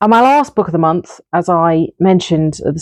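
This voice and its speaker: A woman with a northern English accent talks at a moderate pace in a dark, mellow tone, her pitch varying normally, the sound dry and close with no echo. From northern England. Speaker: book reviewer. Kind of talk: casual monologue review. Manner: hesitant with fillers.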